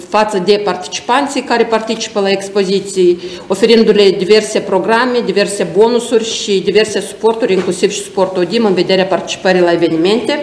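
Amid audible room echo, a woman talks fairly quickly with fairly even intonation. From Moldova. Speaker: exhibition centre director. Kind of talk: presentation. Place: office.

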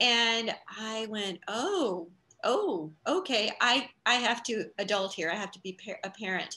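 A woman speaks at a very slow pace, her intonation lively. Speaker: interview guest. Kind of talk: interview answer. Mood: warm, upbeat. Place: home room. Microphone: video call.

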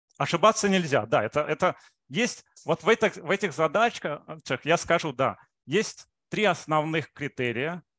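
Against a quiet background, a man with a fairly high pitch, a bright, sharp tone and lively intonation speaks at a moderate pace, the sound dry with no echo. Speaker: mathematics researcher. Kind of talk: lecture. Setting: video call. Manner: halting, with frequent filler sounds. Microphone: video call.

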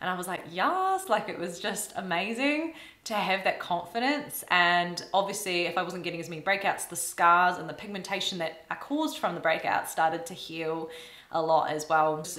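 A woman's fairly low-pitched voice at a moderate pace, with ordinary pitch variation, big swings in loudness and audible room echo. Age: 30s. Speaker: YouTuber and classical violinist; skincare vlogger. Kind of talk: casual vlog talk to camera. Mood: warm, chatty. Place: home room.

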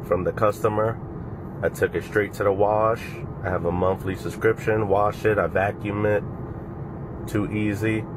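Over noticeable background noise, a man with a fairly low pitch speaks at a moderate pace in a monotone, flat intonation, leaving long, frequent pauses. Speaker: car rental host. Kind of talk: casual vlog chat. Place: car. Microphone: phone near.

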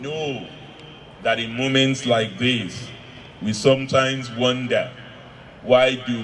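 A man speaks with light background noise behind him. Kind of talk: eulogy speech. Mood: solemn, emotional tribute. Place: tent. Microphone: handheld.

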